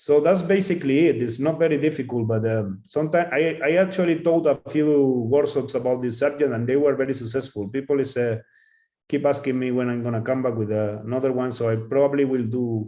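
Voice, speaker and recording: A man's dark, mellow voice at medium pitch, with a Spanish accent, ordinary pitch variation and a fairly quick pace. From Spain. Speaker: calligrapher. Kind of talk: Q&A after a talk. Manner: halting.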